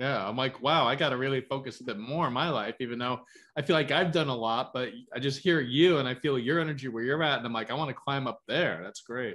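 A man speaks very fast in a bright, sharp tone with ordinary pitch variation. The background is quiet. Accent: American. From New York. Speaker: interview host. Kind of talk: casual interview. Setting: video call. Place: home room. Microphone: video call.

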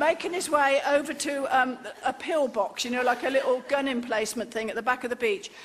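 Noticeable background noise sits behind a voice at a moderate pace with ordinary pitch variation. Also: woman. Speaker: comic storyteller. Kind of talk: comic monologue. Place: stage.

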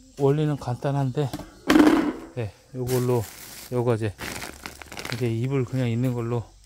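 A man speaks with long, frequent pauses. The sound is dry with no echo, over loud background noise. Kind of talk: casual vlog tutorial. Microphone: phone near.

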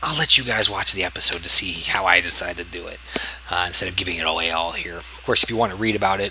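A man rattles off his words very fast and with fairly even intonation while noticeable noise fills the background. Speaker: gaming video creator. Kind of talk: let's play commentary. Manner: casual, hesitant with fillers.

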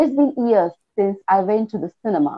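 Against a quiet background, a woman with an Indian accent speaks at a fairly slow pace with very wide pitch swings. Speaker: school owner learning English pronunciation. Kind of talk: online English lesson. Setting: video call. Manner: halting. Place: home room. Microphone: earbuds.

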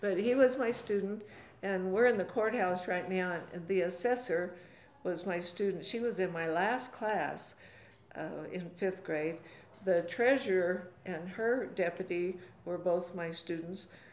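A woman talks with ordinary pitch variation while audible room echo hangs around her words. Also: fairly slow pace. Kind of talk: interview answer. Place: office.

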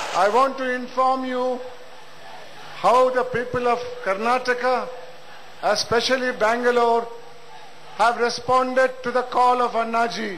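At an extremely high pitch, a man speaks at a moderate pace in a monotone, flat intonation, with long, frequent pauses. Audible room echo and noticeable background noise fill the recording. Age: 70s. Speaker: retired protest speaker. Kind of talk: rally speech.

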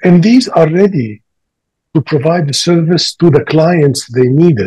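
Over a quiet background, a man with a fairly high pitch and a dark, mellow tone speaks at a fairly slow pace with lively intonation. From Libya and Tunisia. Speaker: planetary scientist. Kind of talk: panel discussion. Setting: video call. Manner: halting. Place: home room. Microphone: video call.

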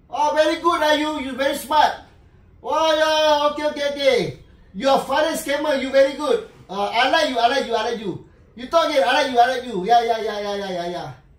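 Audible room echo surrounds a man speaking at a high pitch. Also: fairly quick pace. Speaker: scam call recipient. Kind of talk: mocking phone call with a scammer. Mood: mocking, playful. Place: home room. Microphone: camera far.

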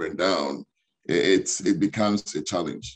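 A man with a fairly low pitch in a normal speaking voice, at a moderate pace against a quiet background. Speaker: interview guest. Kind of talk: interview answer. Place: home room. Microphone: video call.

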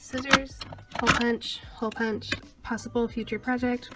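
Woman speaking at a fairly slow pace with music in the background. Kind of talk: casual vlog chat. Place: home room. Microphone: phone near.

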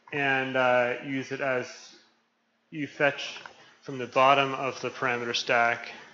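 Speech with monotone, flat intonation moves at a fairly slow pace with long, frequent pauses over light background noise. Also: man. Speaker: programmer presenting a short talk; presenter. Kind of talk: short technical talk. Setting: meeting room with microphone. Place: meeting room. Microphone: camera far.

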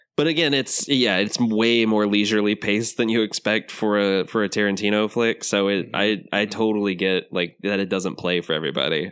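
Speaking at a fairly quick pace in an American accent, this is a normal speaking voice with very even loudness and ordinary pitch variation. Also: man, fairly low pitch for a man. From Florida Panhandle, US. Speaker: film podcast guest. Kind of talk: casual chat.

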